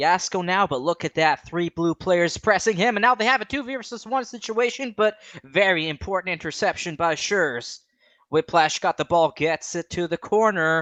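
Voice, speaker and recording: A woman with a fairly low pitch and lively intonation speaks at a moderate pace, with a dry, close sound with no echo and a quiet background. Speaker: esports commentator. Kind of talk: live commentary. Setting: at home at night. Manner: loud.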